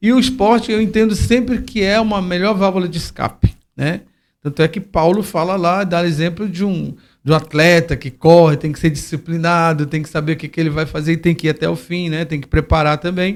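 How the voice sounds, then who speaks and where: A man at a high pitch, fairly quick in pace, with ordinary pitch variation. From Brasília, Brazil. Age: 60s. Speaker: football coach and educator for youth. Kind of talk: interview conversation. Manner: halting, with repeated fillers.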